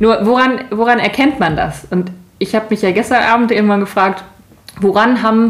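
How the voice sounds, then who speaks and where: A normal speaking voice at a moderate pace, with ordinary pitch variation and very even loudness. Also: woman, fairly high pitch for a woman. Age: 30s. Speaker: podcast co-host. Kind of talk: casual chat.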